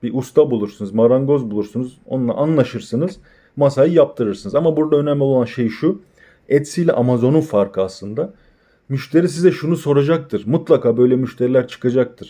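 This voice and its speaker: Against a quiet background, a man talks at a fairly quick pace in a dark, mellow, medium-pitched voice with ordinary pitch variation. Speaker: e-commerce tutorial creator. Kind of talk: tutorial.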